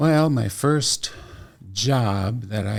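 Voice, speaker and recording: A man with an American accent speaks in a somewhat breathy voice with ordinary pitch variation. The recording is very clean, with a silent background. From Iowa, US Midwest. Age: 70s. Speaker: retired music teacher and singer. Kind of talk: interview.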